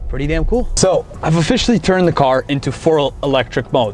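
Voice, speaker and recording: Music plays in the background. A man talks at a very fast pace. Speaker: car sales consultant. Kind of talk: test drive review. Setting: in a car. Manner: loud; animated.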